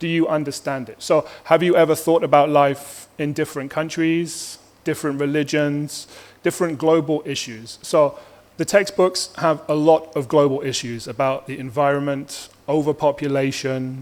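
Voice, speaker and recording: Speaking at a moderate pace, a man uses a plain, everyday voice with fairly high pitch and fairly even intonation. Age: 30s. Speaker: teacher presenting to parents. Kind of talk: presentation to parents at open house. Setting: school open house presentation.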